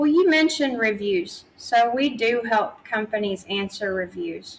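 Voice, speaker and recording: A woman with a slight Tennessee accent, fairly high in pitch, at a fairly slow pace with lively intonation. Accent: slight Southern US (Tennessee) twang. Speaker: PR agency founder. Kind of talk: interview.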